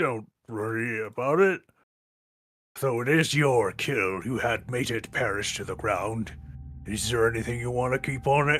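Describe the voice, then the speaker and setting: Putting on a raspy character voice, a man speaks at a medium pitch and moderate pace. He leaves long, frequent pauses. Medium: game stream. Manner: terse, clipped broken speech.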